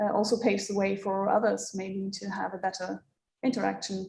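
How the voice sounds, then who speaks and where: With a non-native accent, a woman talks at a fairly quick pace in a medium pitch, her flat, monotone delivery carrying vocal fry and a dark, mellow tone. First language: not English. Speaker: moderator; tourist guide. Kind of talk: panel discussion. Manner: halting.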